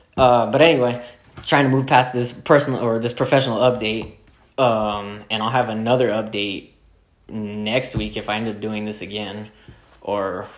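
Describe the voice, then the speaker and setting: Amid audible room echo, a man speaks at a moderate pace in a fairly low voice with fairly even intonation. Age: 20s. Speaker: podcast host. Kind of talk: solo monologue. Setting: dining room at home. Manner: halting, many filler words; casual.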